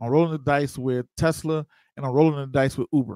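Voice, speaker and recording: The sound is dry, with no echo. The background is quiet. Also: man. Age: 30s. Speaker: investing show host. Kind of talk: livestream tutorial. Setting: live stream. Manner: animated. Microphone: studio mic.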